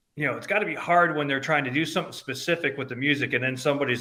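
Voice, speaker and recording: A man speaks loudly at a fairly high pitch with fairly even intonation. His tone is bright and sharp. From upstate New York, Albany. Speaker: band fan. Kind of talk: casual chat.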